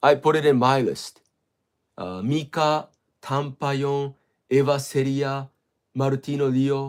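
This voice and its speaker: With a Japanese accent, a man with a fairly high pitch talks at a fairly slow pace, his intonation fairly even, his loudness swinging widely and his speech broken by long, frequent pauses. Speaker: livestreamer. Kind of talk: casual chat. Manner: halting.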